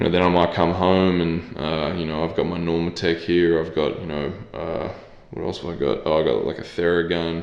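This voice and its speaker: In an Australian accent, a man with a very deep, low pitch speaks in a monotone, flat intonation amid audible room echo. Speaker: professional basketball player. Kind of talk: interview.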